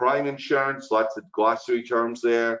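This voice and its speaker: The speaker has a Brooklyn accent. The pace is moderate. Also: man. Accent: Brooklyn, New York. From Brooklyn, New York. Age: 60s. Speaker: insurance instructor. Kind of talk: webinar lecture. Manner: casual, chatty with fillers.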